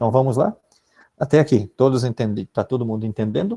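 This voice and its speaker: A man with a medium-pitched, somewhat breathy voice speaks in a dark, mellow tone. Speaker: philosophy teacher giving teacher training. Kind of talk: online training tutorial. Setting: live video conference.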